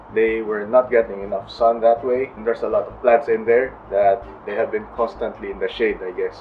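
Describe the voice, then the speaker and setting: A man speaks at a moderate pace, with light background noise behind him. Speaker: home gardener vlogger. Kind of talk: casual garden tour narration.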